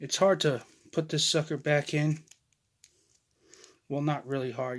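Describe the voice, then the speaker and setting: Recorded very cleanly against a silent background, a man speaks in a fairly high pitch with fairly even intonation. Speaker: toy reviewer. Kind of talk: product review. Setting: storage room at home. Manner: quiet.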